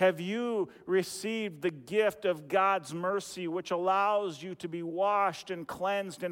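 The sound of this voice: The delivery is an unforced reading voice with fairly even intonation.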